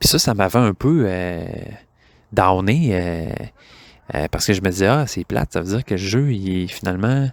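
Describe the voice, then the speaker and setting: At a moderate pace but with long, frequent pauses, a man with a Quebec accent speaks at a fairly low pitch with lively intonation in a dry, close sound with no echo. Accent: Québécois French. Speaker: board game podcaster. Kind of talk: casual monologue. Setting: outdoors in backyard. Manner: hesitant, many filler words.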